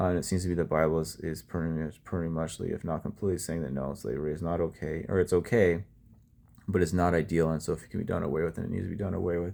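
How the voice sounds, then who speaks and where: This man speaks at a very fast pace in a very deep, low pitch, with vocal fry and ordinary pitch variation. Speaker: bible study presenter. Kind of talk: bible reading and commentary. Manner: casual, halting with fillers.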